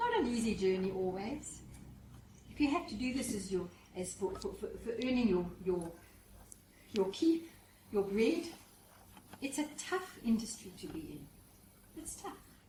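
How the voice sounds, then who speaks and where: Audible room echo around a woman at a moderate pace, with very wide pitch swings and long, frequent pauses. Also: fairly high pitch for a woman. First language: not English. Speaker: professional speaker. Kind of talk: seminar talk. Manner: animated.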